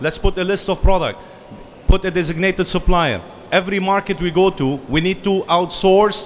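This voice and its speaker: A man's voice with noticeable background noise. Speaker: franchise consultant. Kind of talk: business presentation.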